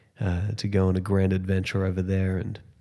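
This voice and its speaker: A man with an Australian accent speaks in a very deep, low voice with a dark, mellow tone at a moderate pace, on a very clean recording with a silent background. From Australia, Sunshine Coast. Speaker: podcast host. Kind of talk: podcast intro monologue. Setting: empty apartment at home. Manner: hesitant, many fillers.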